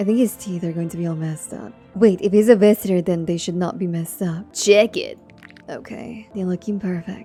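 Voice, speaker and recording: A soft-spoken woman with a soothing tone talks at a fairly quick pace and a medium pitch, with ordinary pitch variation. Her loudness swings widely, and music plays in the background. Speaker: gaming ASMR streamer. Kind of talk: casual gameplay commentary, playthrough talk. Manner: soft-spoken, soothing.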